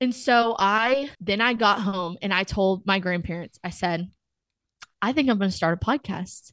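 At a fairly slow pace, a woman with a Texan accent speaks in a medium pitch with ordinary pitch variation over a quiet background. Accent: Texan American. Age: 20s. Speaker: college student and podcaster. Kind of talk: casual interview chat.

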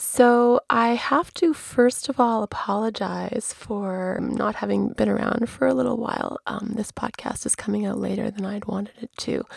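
Noticeable noise fills the background. Through it, a woman talks at a moderate speed. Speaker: podcaster and birth attendant. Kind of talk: podcast monologue.

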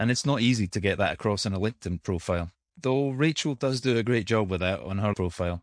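A man with an unremarkable speaking voice, medium pitch, lively intonation and a fairly quick pace, over a quiet background. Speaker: podcast host. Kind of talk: scripted podcast intro and outro.

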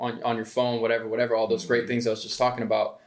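Noticeable background noise sits behind a man with an American accent and a medium pitch. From Atlanta, US South. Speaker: music producer and artist. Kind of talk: interview conversation. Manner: animated.

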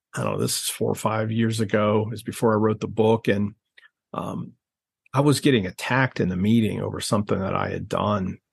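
A man with an American accent speaks at a fairly quick pace. His voice is fairly low, with fairly even intonation. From US Midwest (Ohio). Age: 50s. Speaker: professor of biblical studies and coach. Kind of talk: conversational interview. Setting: video call.

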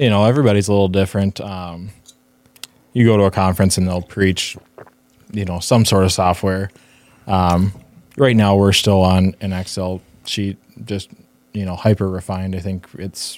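A man's very deep, low voice with an American accent, monotone and flat, at a moderate pace with long, frequent pauses. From US Midwest, Northfield, Minnesota. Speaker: construction estimator and designer. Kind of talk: casual interview.

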